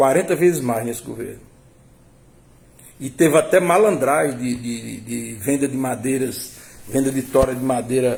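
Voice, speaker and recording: Speaking at a moderate pace, a man with a medium-pitched voice and ordinary pitch variation leaves long, frequent pauses. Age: 60s. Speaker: political commentator. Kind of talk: political commentary monologue. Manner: halting, with repetitions.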